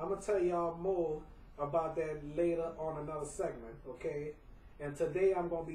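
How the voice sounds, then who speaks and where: A high-pitched male voice at a moderate pace, intonation fairly even, with noticeable background noise. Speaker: home video vlogger. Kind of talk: casual monologue. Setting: at home.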